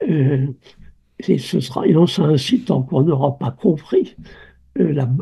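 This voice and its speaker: Speaking fairly slowly, a man talks in a dark, mellow tone. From France. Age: 80s+. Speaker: obstetrician and birth researcher. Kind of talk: interview. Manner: halting, with many repetitions.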